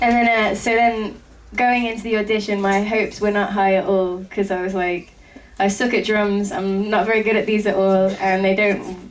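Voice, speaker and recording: In a room with audible echo, a woman speaks at a medium pitch and moderate pace with monotone, flat intonation. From England. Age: 20s. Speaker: rock band drummer. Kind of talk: interview.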